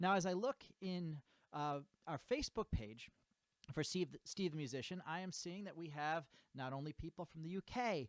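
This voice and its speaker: Speaking with a New England accent, a man uses a high pitch and lively intonation. His pace is moderate, and the sound is dry and close with no echo. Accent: American (New England). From US, Connecticut (New England). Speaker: music teacher, bugle and guitar. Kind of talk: tutorial outro, direct address to viewers. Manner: halting, many fillers and repeated words.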